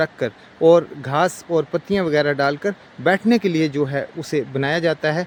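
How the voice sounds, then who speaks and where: Here is a man with a plain, everyday voice, fairly high in pitch with ordinary pitch variation. The sound is dry and close, with no echo. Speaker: vlogger. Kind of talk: vlog narration to camera.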